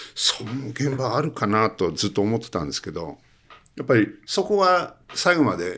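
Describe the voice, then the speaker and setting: This man talks at a fairly slow pace, his pitch swinging very widely. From Hokkaido, Iwamizawa. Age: 70s. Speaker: cinematographer. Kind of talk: interview.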